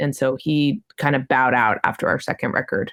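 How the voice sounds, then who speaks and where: Speaking at a fairly quick pace, a woman uses a very deep, low pitch laced with vocal fry. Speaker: cellist and vocalist in a metal band. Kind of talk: interview. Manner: loud.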